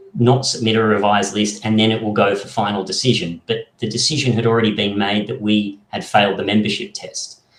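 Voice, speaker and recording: With an Australian accent, a man talks at a fairly quick pace with hardly any pauses, his fairly low voice keeping a fairly even intonation. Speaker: political party member. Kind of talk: podcast interview.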